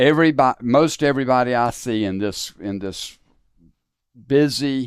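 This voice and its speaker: A man speaks with a Southern US accent and lively intonation at a moderate pace. The recording is very clean, with a silent background. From US South, South Carolina. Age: 60s. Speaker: podcast host and faith speaker. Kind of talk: interview conversation. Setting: studio. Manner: reflective, conversational.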